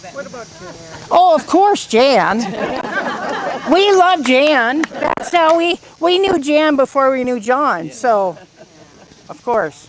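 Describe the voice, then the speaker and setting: Loud speech comes at a very slow pace with long, frequent pauses against crowd noise in the background. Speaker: teacher and family friend. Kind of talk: eulogy anecdote at memorial.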